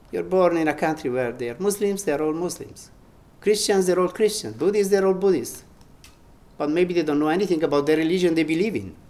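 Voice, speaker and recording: Speech in an Italian accent moves at a fairly quick pace with ordinary pitch variation. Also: man, high pitch for a man. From Italy. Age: 70s. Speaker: spiritual teacher. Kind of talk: spiritual talk.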